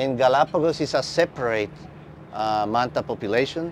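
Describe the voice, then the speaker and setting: Light background noise behind a man with a Spanish accent, at a moderate pace. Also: dry sound with no echo. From Costa Rica. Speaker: marine biologist. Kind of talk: conference talk. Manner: halting.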